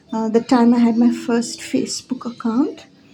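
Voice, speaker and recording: Noticeable background noise runs behind a soft-spoken woman talking at a moderate pace with fairly high pitch. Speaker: spiritual teacher. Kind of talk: casual monologue.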